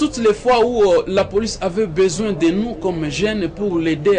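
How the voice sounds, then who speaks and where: Music plays in the background. A man speaks at a moderate pace with ordinary pitch variation. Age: 20s. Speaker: youth community organization leader. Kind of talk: interview. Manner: hesitant, many fillers.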